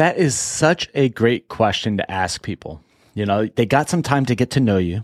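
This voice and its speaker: In a dry, close sound with no echo and a very clean recording over a silent background, a man with an unremarkable speaking voice talks at a moderate pace with medium pitch and lively intonation. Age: 40s. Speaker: business podcast host. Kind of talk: casual interview chat.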